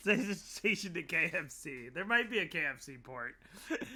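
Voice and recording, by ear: A passage read aloud in a natural voice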